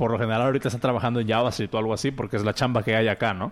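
A man with a Mexican accent talks at a medium pitch. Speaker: podcast host. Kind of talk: casual chat. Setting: live stream.

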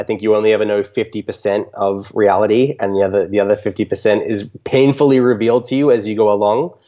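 With an Australian accent, a man speaks in a dark, mellow tone at a medium pitch, a moderate pace and with fairly even intonation. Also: quiet background. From Australia, Canberra. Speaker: electronic music DJ and producer. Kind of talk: interview.

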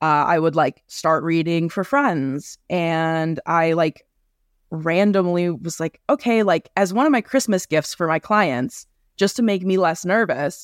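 With a plain, everyday voice, a woman with an American accent speaks at a fairly low pitch with ordinary pitch variation, with a dry, close sound with no echo on a very clean recording with a silent background. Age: 30s. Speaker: beauty business owner and tarot reader. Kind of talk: casual interview.

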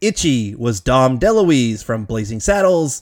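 Lively intonation marks a man's normal speaking voice, pitched at a medium level. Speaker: podcast host. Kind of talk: casual chat.

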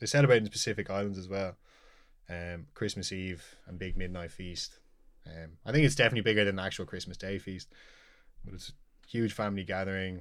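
Speaking at a fairly quick pace in a Dublin accent, a man shows ordinary pitch variation and big swings in loudness on a very clean recording with a silent background. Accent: Dublin Irish. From Dublin, Ireland (Knocklyon). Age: 20s. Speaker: chef. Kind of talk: casual interview chat. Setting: studio.

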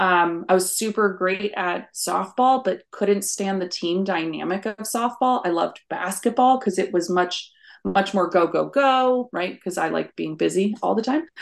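A woman's unremarkable speaking voice with an American accent, medium in pitch, at a moderate pace with ordinary pitch variation, over a quiet background. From rural US. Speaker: career coach. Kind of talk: interview.

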